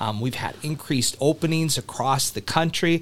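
A man with a Midwestern American accent talks at a moderate pace with ordinary pitch variation. The recording is very clean, with a silent background. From US Midwest, small rural town. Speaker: hospital HR executive. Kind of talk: interview.

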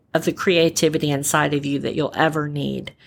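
A woman is heard here. The recording is very clean, with a silent background. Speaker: podcast host and storyteller. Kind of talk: inspirational monologue.

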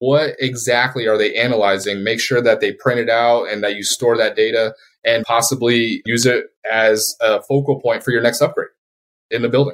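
At a moderate pace, a man with an American accent speaks in a medium pitch with monotone, flat intonation. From Colorado, US. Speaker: security company sales manager, Navy veteran. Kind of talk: interview.

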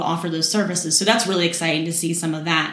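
In an American accent, a woman with a fairly low pitch talks at a very fast pace, with audible room echo and noticeable background noise. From West Virginia, Morgantown. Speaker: community relations manager at a bank. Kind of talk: casual interview.

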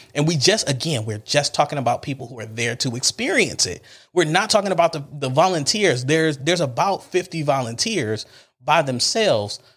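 On a very clean recording with a silent background, a man with an American accent talks at a fairly quick pace and fairly high pitch, his intonation lively. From Cleveland, Ohio. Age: 30s. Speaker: pastor. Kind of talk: podcast monologue, personal story. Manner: casual, animated.

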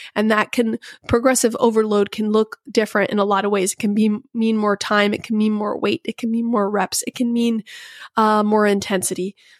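A woman at a fairly quick pace, flat and monotone, in a dry, close sound with no echo. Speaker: fitness podcast host, personal trainer. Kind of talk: solo podcast monologue. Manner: casual with frequent fillers.

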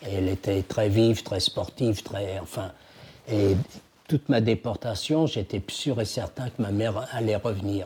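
Somewhat breathy, a man talks at a fairly slow pace. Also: fairly low pitch for a man, ordinary pitch variation. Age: 80s+. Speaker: Holocaust survivor and antique dealer. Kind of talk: testimony interview. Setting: at his home.

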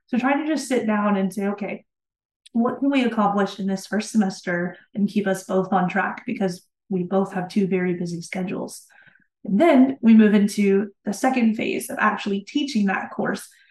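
Pitch variation here is ordinary, and the delivery keeps a moderate pace. There is a somewhat breathy quality to the sound. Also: woman, medium pitch for a woman. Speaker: instructional designer. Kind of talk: interview conversation.

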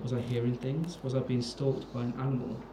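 Over noticeable background noise, a man with a medium-pitched voice talks fairly quickly in a dramatic tone. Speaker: podcast host. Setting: recording while drinking. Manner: hushed, dramatic reading, building suspense; tipsy, jokey.

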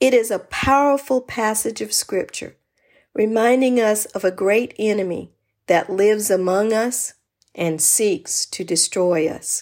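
A woman speaks at a fairly slow pace in a fairly high pitch, with ordinary pitch variation and a normal speaking voice. The recording is very clean with a silent background. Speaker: podcast host. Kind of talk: devotional sermon-like talk.

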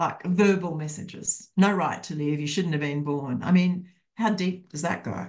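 In an Australian accent, a woman talks at a fairly low pitch and a moderate pace. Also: ordinary pitch variation. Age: 60s. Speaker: counselor and psychotherapist. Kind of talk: casual chat.

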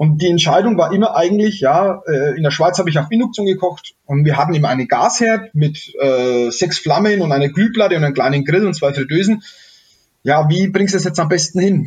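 A man with a Franconian accent speaks fairly quickly at a high pitch, with ordinary pitch variation and very even loudness. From Middle Franconia, Germany. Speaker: chef and innkeeper. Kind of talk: casual interview. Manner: halting, many repetitions.

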